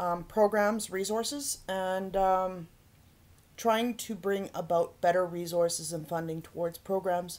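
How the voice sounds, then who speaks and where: Speaking fairly slowly, a woman with an Albertan accent uses a medium pitch and ordinary pitch variation. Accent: Canadian (Alberta). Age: 40s. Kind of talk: personal vlog monologue. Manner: hesitant with many fillers; forceful, can sound aggressive.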